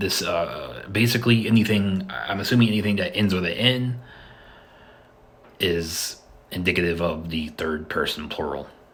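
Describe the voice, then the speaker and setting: Against audible room echo, a man talks at a fairly slow pace with ordinary pitch variation. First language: not Spanish. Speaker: language video creator. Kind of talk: educational monologue. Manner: halting, many repetitions and fillers.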